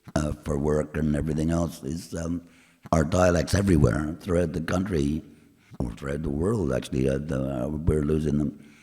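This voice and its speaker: A man's very deep, low voice with a dark, mellow tone, vocal fry, fairly even intonation and a moderate pace. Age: old. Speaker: folk singer-songwriter. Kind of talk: live performance banter. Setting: church stage with audience. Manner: halting.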